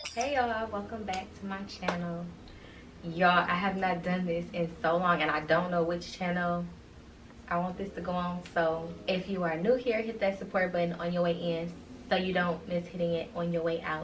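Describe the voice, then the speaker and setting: A woman with a fairly low pitch and fairly even intonation is heard with audible room echo and noticeable background noise. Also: moderate pace. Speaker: vlogger. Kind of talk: casual chat.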